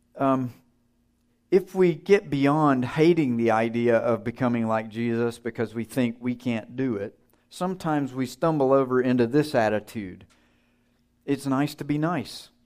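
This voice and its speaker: The speaker has a slight Southern US accent and talks at a moderate pace with ordinary pitch variation. The recording is very clean, with a silent background. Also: man, medium pitch for a man. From US South. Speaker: seminary teacher, guest preacher. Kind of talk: sermon. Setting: church. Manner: humorous, conversational.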